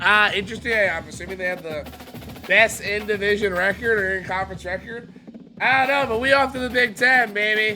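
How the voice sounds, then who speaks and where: Over music in the background, a man speaks in an animated, raised, projected voice at a high pitch. His pace is fairly quick and his pitch variation is ordinary. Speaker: gaming YouTuber. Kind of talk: casual gameplay commentary. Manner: loud.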